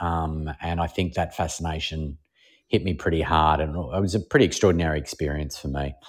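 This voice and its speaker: Speaking with an Australian accent, a man talks fairly quickly in a very deep, low voice with fairly even intonation, on a very clean recording with a silent background. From Melbourne, Australia. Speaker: TV and radio host, former comedian. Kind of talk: casual interview chat.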